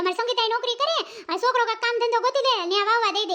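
This is a cartoonish character voice. It moves at a fairly quick pace. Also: woman. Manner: talkative, repetitive.

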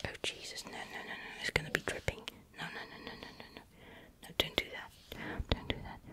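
Someone whispers at a fairly quick pace, the sound dry with no echo and light background noise behind it. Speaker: asmr makeup creator. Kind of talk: soft-spoken tutorial chat. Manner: flustered whisper, pleading with eyeliner. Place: home room. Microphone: studio mic.

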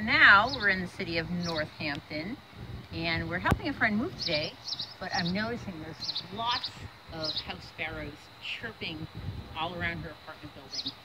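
A woman's fairly low voice with lively intonation at a moderate pace, over loud background noise. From Massachusetts (Waltham); Massachusetts. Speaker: children's author and illustrator. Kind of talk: casual outdoor vlog narration. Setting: outdoors. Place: street.

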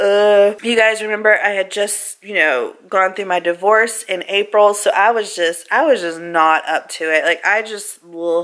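Ordinary pitch variation runs through this voice. The pace is fairly slow. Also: woman. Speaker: family vlogger. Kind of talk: casual vlog chat. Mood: happy, then reflective. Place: home room. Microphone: phone near.

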